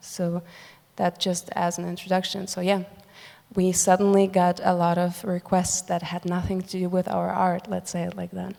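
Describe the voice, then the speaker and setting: A woman with a Ukrainian accent speaks at a moderate pace in a fairly low, dark and mellow voice, her intonation monotone and flat, on a very clean recording with a silent background. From Germany, Ukrainian family. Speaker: musician. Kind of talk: panel discussion. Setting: stage with audience.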